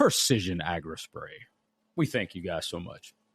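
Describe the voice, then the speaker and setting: A put-on character voice from a man, very deep and low, lively in intonation, at a moderate pace. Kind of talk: announcer voice.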